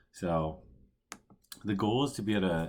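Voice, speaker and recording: Speaking quietly at a moderate pace, a man uses ordinary pitch variation. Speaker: coding tutorial presenter. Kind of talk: tutorial. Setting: at home.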